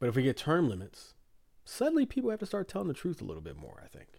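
Speaking very fast in an animated tone, a man with an American accent has a fairly high pitch, recorded very cleanly against a silent background. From United States. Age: 40s. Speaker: podcast host. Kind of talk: casual chat.

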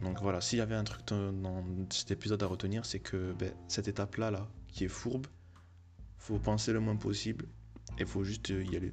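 A man speaks at a fairly low pitch and a moderate pace, somewhat breathy and with ordinary pitch variation. His loudness stays very even, broken by long, frequent pauses. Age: 20s. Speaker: solo podcaster. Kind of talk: casual monologue. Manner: halting.

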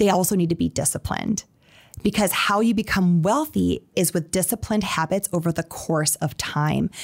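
The tone is animated, with ordinary pitch variation at a moderate pace, in an Upper Midwest accent. The recording is very clean, with a silent background. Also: woman. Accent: Upper Midwest American. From South Dakota (Sioux Falls). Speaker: financial literacy entrepreneur. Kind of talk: interview.

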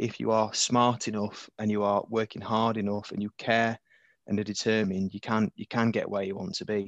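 Against a quiet background, a man with a fairly low pitch speaks at a fairly quick pace in a monotone, flat intonation, the sound dry and close with no echo. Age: 30s. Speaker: dental tutor. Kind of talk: interview. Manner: halting.

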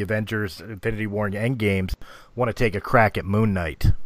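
In a very clean recording with a silent background, a man speaks at a fairly quick pace. He has a fairly low pitch and an unremarkable speaking voice. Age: 40s. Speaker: podcast host. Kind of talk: casual chat.

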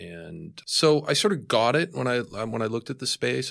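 On a very clean recording with a silent background, an ordinary speaking voice carries lively intonation. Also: man. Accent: American. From Boston. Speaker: tech company executive. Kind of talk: interview.

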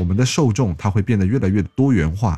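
A man speaks in a dark, mellow tone with lively intonation. The recording is very clean, with a silent background. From Shantou, Guangdong. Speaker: podcast host. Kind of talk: casual chat.

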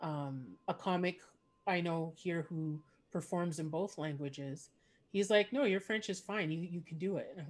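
With a Canadian accent, a woman uses an ordinary speaking voice, fairly low in pitch, at a moderate pace with ordinary pitch variation. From Montreal, Quebec. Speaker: podcast host and comedian. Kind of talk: casual interview. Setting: video call.

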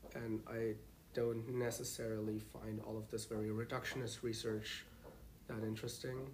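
Audible room echo surrounds a somewhat breathy man who speaks at a moderate pace with monotone, flat intonation. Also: medium pitch for a man. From Germany. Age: 20s. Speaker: master's student. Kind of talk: casual interview.

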